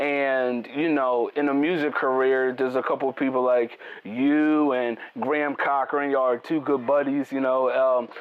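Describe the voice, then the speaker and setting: A man of medium pitch speaks in a flat monotone at a moderate pace and very even loudness, with noticeable background noise. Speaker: interview show host. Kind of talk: interview.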